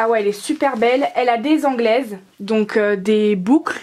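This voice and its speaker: There is noticeable background noise as a woman speaks at a moderate pace with ordinary pitch variation. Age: young. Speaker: doll collector. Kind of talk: casual unboxing voice-over.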